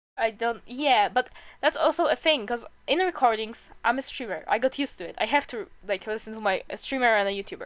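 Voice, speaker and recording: With a non-native accent, a woman speaks at a high pitch with very wide pitch swings and big swings in loudness, in a very clean recording with a silent background. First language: not English. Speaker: streamer. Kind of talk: casual chat. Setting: live stream.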